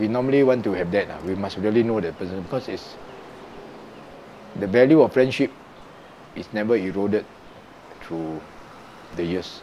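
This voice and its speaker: Against light background noise, a man with a Singaporean accent speaks at a fairly low pitch, with big swings in loudness and long, frequent pauses. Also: ordinary pitch variation, moderate pace. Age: 60s. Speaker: retired musician, teacher and blogger. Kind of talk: interview answer. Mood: warm, reflective. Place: home room. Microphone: lapel.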